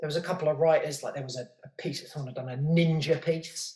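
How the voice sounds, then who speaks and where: The intonation stays fairly even, delivered in a southern English accent. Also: man. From southern England, outskirts of London. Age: 30s. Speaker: podcast host and graffiti writer. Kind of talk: casual interview chat.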